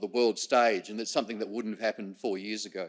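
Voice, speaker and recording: On a very clean recording with a silent background, a man speaks with an Australian accent. His pitch is medium and his intonation monotone and flat. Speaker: professor. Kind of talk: conference presentation. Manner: halting, many fillers and repetitions.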